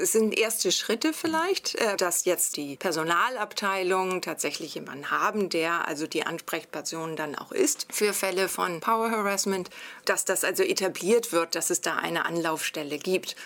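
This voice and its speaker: In a normal speaking voice at medium pitch, a woman speaks at a moderate pace with lively intonation and hardly any pauses, in a very clean recording with a silent background. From Germany. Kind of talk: interview.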